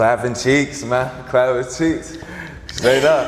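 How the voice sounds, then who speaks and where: Over noticeable background noise and audible room echo, a man talks at a fairly slow pace with ordinary pitch variation. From New York, Long Island, then Georgia. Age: 30s. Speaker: filmmaker and producer. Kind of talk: interview conversation. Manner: casual, hesitant with fillers.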